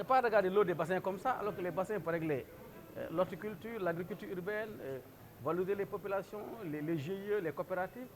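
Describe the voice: A man talks at a fast pace with few pauses, his pitch high and its variation ordinary.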